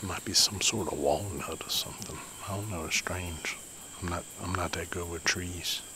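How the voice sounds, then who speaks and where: A man's very deep, low voice with fairly even intonation over noticeable background noise. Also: moderate pace, dry sound with no echo. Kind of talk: casual vlog chat. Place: forest. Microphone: phone near.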